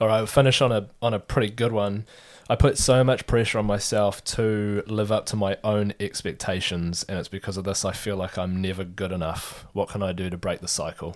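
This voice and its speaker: A man speaks with a fairly low pitch, fairly even intonation and an unremarkable speaking voice. He moves at a fairly quick pace with hardly any pauses, on a very clean recording against a silent background. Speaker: co-host reading questions. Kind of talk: casual Q&A chat.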